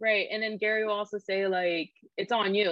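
A woman with a Californian accent talks at a moderate pace. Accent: Californian American. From Sacramento, California. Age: 20s. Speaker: filmmaker and photographer. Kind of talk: casual chat.

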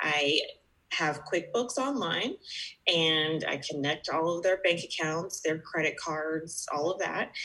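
A woman with an American accent has an unremarkable speaking voice. She talks at a fairly slow pace in a fairly low pitch. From US, Georgia. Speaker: bookkeeper, business owner. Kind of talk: podcast interview.

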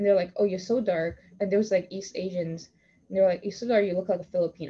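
Somewhat breathy, the voice moves with ordinary pitch variation. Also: woman. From Toronto. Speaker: podcast host. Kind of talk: casual discussion.

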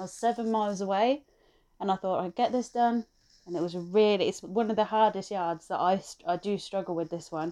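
Speaking at a fairly quick pace in an English accent, a woman has a dark, mellow tone, medium pitch and ordinary pitch variation. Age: 30s. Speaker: truck driver. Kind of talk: casual chat.

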